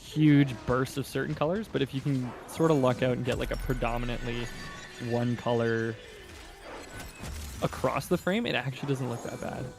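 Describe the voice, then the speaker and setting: A man with a slight Canadian accent, medium pitch and ordinary pitch variation, at a moderate pace with long, frequent pauses, over noticeable background noise. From Canada. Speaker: game community stream co-host. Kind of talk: casual chat.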